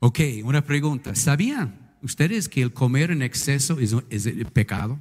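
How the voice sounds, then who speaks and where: A man with a fairly high, somewhat breathy voice talks at a fairly slow pace with ordinary pitch variation. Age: 60s. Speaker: pastor. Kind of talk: sermon. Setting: church. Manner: animated.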